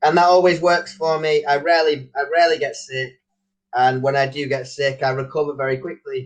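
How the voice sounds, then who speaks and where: This man has a Manchester accent and a fairly high pitch. He talks at a fairly quick pace. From northern England, Manchester. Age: young. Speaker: online English tutor. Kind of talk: casual chat. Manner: energetic.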